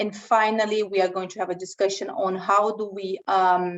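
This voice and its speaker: A woman talks in a Brazilian Portuguese accent. Her intonation stays fairly even. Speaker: cybersecurity consultant. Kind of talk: webinar presentation. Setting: online webinar. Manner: conversational.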